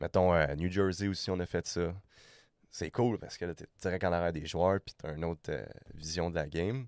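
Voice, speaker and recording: Recorded with a dry, close sound and no echo, a man with a very deep, low pitch speaks at a moderate pace with ordinary pitch variation. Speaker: podcast guest, hockey traveler. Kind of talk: casual interview chat.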